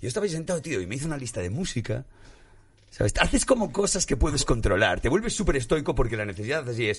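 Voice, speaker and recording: A man at medium pitch with vocal fry, very wide pitch swings and a very fast pace, over a quiet background. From Spain, Galicia. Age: 40s. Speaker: musician and comedian. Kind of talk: casual chat.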